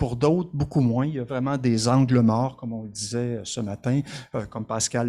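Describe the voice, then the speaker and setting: A dark, mellow tone at a moderate pace, with ordinary pitch variation, in a very clean recording with a silent background. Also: man. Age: 60s. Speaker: social worker and conference speaker. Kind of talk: conference presentation. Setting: conference with audience.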